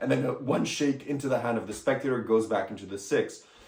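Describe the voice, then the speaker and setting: Speaking at a fairly quick pace, a man uses a medium pitch. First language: French. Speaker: magic product reviewer. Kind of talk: product review. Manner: casual, hesitant at times.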